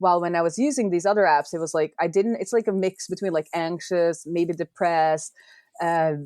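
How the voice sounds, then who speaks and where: A woman with a Norwegian accent talks at a fairly quick pace, her pitch fairly low with ordinary variation. The sound is dry and close with no echo, over a quiet background. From Norway. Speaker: software developer and indie app maker. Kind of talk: podcast interview.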